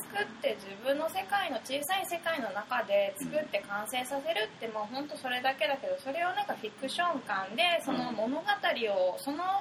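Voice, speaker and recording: A woman speaks in a high voice. Her pitch swings very widely. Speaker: fashion designer. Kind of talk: interview.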